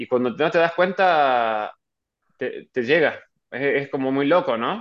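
Against a quiet background, a man with a Rioplatense accent speaks in a fairly high pitch with ordinary pitch variation. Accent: Argentine Rioplatense Spanish. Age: 30s. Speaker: professional golfer. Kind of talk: interview. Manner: halting, frequent repetitions.

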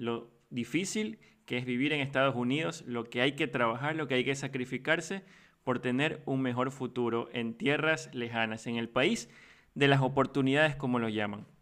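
A man in a plain, everyday voice at a moderate pace, with ordinary pitch variation, over a quiet background. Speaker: podcast host. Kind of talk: podcast intro and outro; casual interview.

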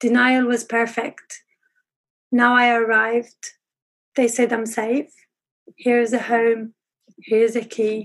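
In an Arabic accent, a woman speaks at a very slow pace with a fairly high pitch, monotone, flat intonation and long, frequent pauses. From Syria, Aleppo. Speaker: pharmacist in training. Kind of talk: interview.

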